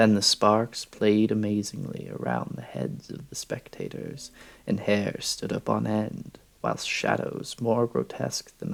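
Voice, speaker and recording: Whispering and soft-spoken, a man talks at a very slow pace with vocal fry. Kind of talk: soft-spoken horror story reading. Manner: soft-spoken, whispery ASMR.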